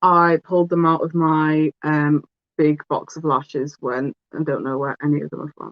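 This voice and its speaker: With a British accent, a woman talks at a moderate pace. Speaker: beauty vlogger. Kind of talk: casual chat. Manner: loud; animated.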